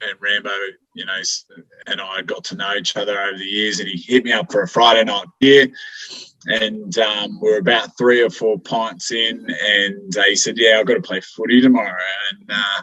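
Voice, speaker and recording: With an Australian accent, a man speaks in a fairly low pitch. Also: ordinary pitch variation, moderate pace. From Queensland, Brisbane. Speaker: amateur football coach. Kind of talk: casual podcast interview. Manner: halting, many fillers.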